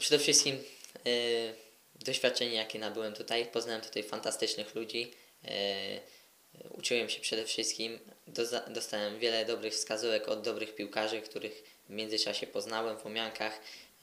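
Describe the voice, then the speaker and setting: A man's medium-pitched voice at a moderate pace, in a monotone, flat intonation. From Poland, Koszalin. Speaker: footballer. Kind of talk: interview.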